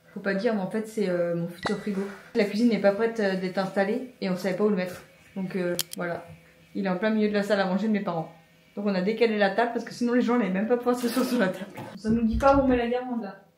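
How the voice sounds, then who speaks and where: A woman speaks at a medium pitch with ordinary pitch variation and a very fast pace, broken by long, frequent pauses, against noticeable background noise and audible room echo. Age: 30s. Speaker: vlogger. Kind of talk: casual vlog talk to camera.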